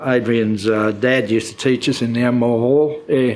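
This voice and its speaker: A man speaks at a moderate pace in a medium pitch with a rural Australian accent. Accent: broad rural Australian. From Queensland, Australia (Mary Valley near Gympie). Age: 80s+. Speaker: elderly local resident sharing memories. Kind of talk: oral history interview. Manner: halting, with many fillers.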